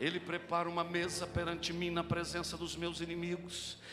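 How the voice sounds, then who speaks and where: Through audible room echo, a man talks at a moderate pace in a high pitch. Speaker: pastor. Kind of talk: sermon. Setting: church.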